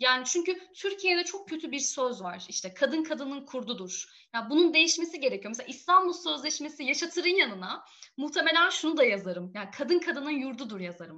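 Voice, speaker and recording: A woman with a high voice speaks fairly quickly in a raised, projected voice, her pitch swinging very widely. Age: 20s. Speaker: feminist activist and graduate student. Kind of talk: interview.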